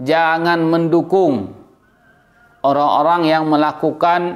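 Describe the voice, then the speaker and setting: Over music in the background, a man talks at a very slow pace in a high voice with fairly even intonation. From Aceh, Indonesia. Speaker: YouTube commentator. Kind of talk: opinion monologue. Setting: indoors in a room. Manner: loud.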